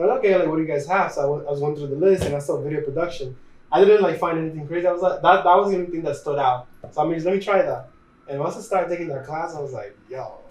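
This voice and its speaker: Audible room echo carries a man's high-pitched voice in a Spanish accent. He talks at a very fast pace. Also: ordinary pitch variation. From Dominican Republic. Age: 20s. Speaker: videographer and photographer. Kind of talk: casual interview.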